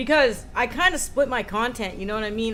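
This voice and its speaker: A woman with an American accent speaks at a fairly high pitch with fairly even intonation. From United States. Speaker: streamer. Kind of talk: casual chat. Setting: livestream. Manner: fast.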